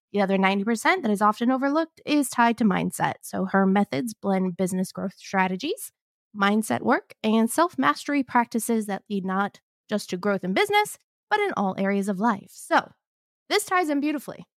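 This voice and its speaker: A woman has an ordinary speaking voice, fairly high in pitch. She talks at a fairly quick pace with lively intonation. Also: dry, close sound with no echo. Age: 30s. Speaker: podcast co-host. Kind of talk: casual chat; reading aloud.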